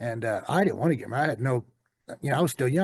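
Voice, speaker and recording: Somewhat breathy, a man with a Southern US accent talks very fast with lively intonation against a quiet background. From US South. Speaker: storyteller guest sharing life story. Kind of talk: personal testimony in interview. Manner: halting, many fillers.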